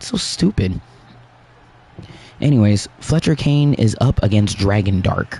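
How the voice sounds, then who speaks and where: A man's somewhat breathy, dark, mellow voice at a fairly low pitch, with lively intonation, a fairly slow pace and long, frequent pauses. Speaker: gaming livestream host. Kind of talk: casual livestream commentary.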